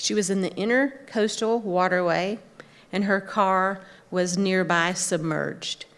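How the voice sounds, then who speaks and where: This woman has a normal speaking voice at a medium pitch, delivered at a fairly slow pace with very even loudness and fairly even intonation. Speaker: clinical social worker. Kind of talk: conference talk.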